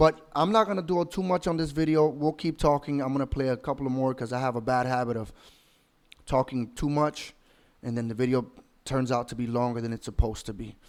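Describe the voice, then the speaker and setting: A man talks fairly quickly, his medium pitch showing ordinary variation. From outside the US, immigrant. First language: not English. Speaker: commentary YouTuber. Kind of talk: reaction commentary.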